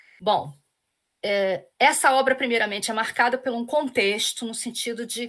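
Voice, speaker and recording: With a Carioca accent, a woman talks at a fairly high pitch and a fairly slow pace. Her pitch variation is ordinary, and the recording is very clean with a silent background. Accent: carioca, with the hissing sh sound. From Rio de Janeiro city. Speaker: literature professor. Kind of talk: lecture. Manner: hesitant, with repeated fillers.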